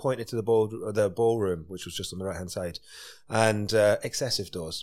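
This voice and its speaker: A man speaks with a Scottish accent at a fairly low pitch. His tone is animated and passionate. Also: very clean recording, silent background. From Scotland. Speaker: chef and restaurateur. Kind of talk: casual interview chat. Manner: animated, passionate.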